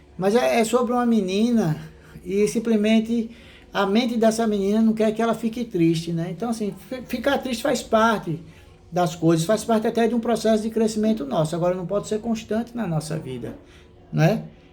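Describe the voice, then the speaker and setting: The speaker is a man whose voice sits high. Its pitch moves in an ordinary way. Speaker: Sunday school teacher. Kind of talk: Bible study lesson. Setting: recorded at home, online class. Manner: fast; conversational.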